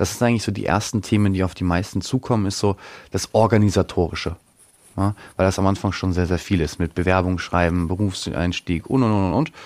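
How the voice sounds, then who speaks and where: A man with very deep, low pitch, ordinary pitch variation, and a very fast pace. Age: 20s. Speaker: financial consultant. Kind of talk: interview. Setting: studio. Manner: hesitant, many fillers.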